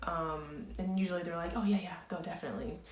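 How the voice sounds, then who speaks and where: A woman speaks in a fairly low pitch with fairly even intonation. Audible room echo and noticeable background noise surround her voice. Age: 20s. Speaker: nursing student. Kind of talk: advice vlog.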